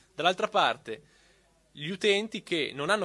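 Here a man speaks with a bright, sharp tone. His intonation is lively. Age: 30s. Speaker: copyleft advocate. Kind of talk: panel talk.

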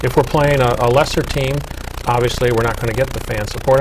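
A man talks very fast with noticeable noise in the background. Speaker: volleyball coach and broadcaster. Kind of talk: panel discussion. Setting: studio. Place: studio. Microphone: lapel.

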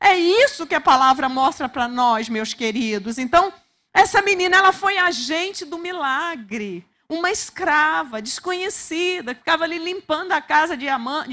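Raised and projected, a woman's high voice carries a bright, sharp tone and lively intonation at a fairly slow pace. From Brazil. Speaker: preacher. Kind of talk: sermon. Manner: urgent, exhorting, repeating words for emphasis; fervent, direct address to listeners. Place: church. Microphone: handheld.

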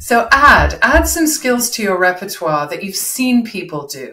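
This woman talks at a fairly slow pace, her pitch fairly low and her intonation lively. The tone is bright and sharp, with audible room echo.

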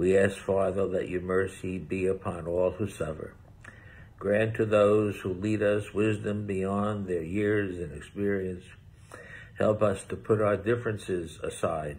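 The voice is somewhat breathy, with fairly even intonation. It moves at a fairly slow pace. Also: man, fairly low pitch for a man. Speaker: deacon. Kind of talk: fervent prayer with call-and-response refrains. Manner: earnest, pleading, rhythmic repetition. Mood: solemn, earnest. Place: home room. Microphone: phone near.

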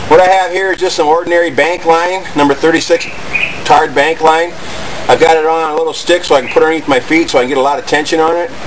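A man speaks at a very fast pace with fairly even intonation over noticeable background noise. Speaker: bushcraft channel host. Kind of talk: tutorial. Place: garden. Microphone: camera far.

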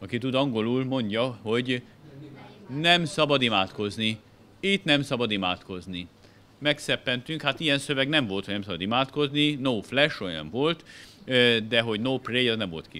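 A man's bright, sharp tone at a moderate pace, with lively intonation and long, frequent pauses. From Hungary. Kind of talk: illustrated lecture. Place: hall. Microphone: podium.

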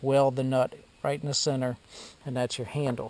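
Loud background noise around a man's voice, the sound dry and free of echo. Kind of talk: tutorial. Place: workshop. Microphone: phone near.

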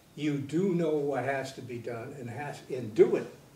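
A man speaks very slowly at a fairly high pitch, with ordinary pitch variation. Audible room echo surrounds the voice. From Michigan, USA. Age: 80s+. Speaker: Navy veteran, former college president. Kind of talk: interview answer. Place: studio.

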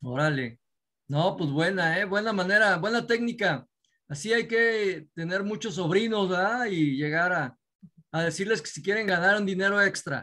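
A man projects a raised voice with a high pitch and a bright, sharp tone. He keeps a moderate pace and ordinary pitch variation against a quiet background. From Mexico. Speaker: network marketing leader; host of business webinar. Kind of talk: Q&A, mentoring talk. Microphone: video call.

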